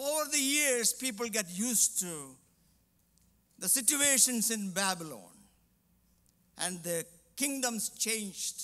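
Over a quiet background, a man speaks in a raised, projected voice with a bright, sharp tone. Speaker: preacher. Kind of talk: sermon. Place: church. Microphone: headset.

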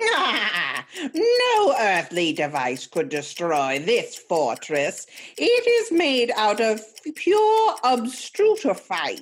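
Someone uses a put-on character voice at a fairly high pitch, speaking at a very slow pace. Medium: audio drama. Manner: menacing, shouting.

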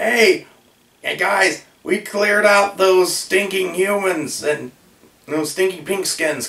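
A man puts on a character voice pitched high. He delivers it at a very slow pace. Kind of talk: comic anecdote storytelling. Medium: solo performance. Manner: playful, mock-friendly, conspiratorial.

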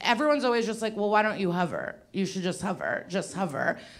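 A woman at a fairly quick pace with lively intonation, over light background noise. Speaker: stand-up comedian. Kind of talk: stand-up comedy routine. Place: workshop. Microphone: handheld.

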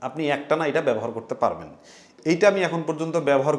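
A man talks at a high pitch, with pitch variation that is ordinary. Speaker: tech reviewer. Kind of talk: tutorial.

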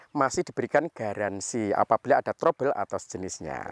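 A man talks at a moderate pace in an upbeat tone, his pitch swinging very widely with some vocal fry. The sound is dry with no echo, over a quiet background. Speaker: airgun shop host and reviewer. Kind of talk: sales pitch. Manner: upbeat, fluent promotional patter; formulaic, polite and religious greetings. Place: garden. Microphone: lapel.

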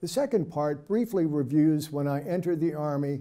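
A man at a moderate pace, with music in the background. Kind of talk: prepared presentation to camera. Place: studio.

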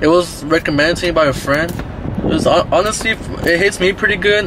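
A man at a moderate pace, with ordinary pitch variation, dry sound with no echo and noticeable background noise. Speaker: vlogger. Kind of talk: casual vlog chat. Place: car. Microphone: phone near.

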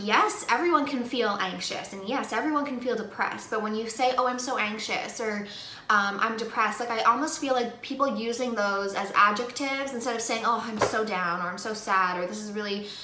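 A woman's fairly quick speech with hardly any pauses, ordinary pitch variation, light background noise and audible room echo. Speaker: beauty vlogger. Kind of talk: casual vlog chat. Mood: earnest, opinionated. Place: home room. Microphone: phone near.

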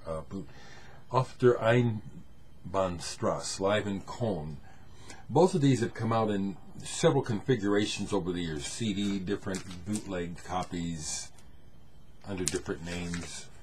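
A man with a fairly low, somewhat breathy voice leaves long, frequent pauses. Light background noise is present. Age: 60s. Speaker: music vlogger showing records. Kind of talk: casual solo video talk. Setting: home camera recording. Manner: relaxed, hesitant with many fillers. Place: home room. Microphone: webcam.

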